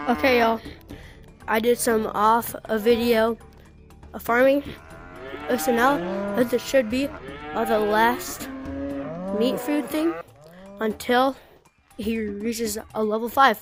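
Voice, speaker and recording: A woman with a fairly high pitch talks very slowly, with ordinary pitch variation. Long, frequent pauses break her speech as music plays in the background. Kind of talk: casual gaming commentary.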